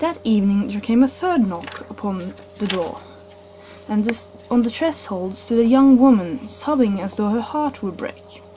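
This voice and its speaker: A woman with a fairly high voice is heard against noticeable background noise. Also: lively intonation, moderate pace. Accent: Norwegian. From Norway. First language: Norwegian. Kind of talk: read story. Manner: slight stutters.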